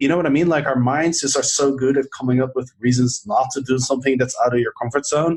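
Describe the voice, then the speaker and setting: At a very fast pace, a man speaks at medium pitch with hardly any pauses and very even loudness. His voice is somewhat breathy and his intonation fairly even. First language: not English. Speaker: podcast host and author. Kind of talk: casual chat.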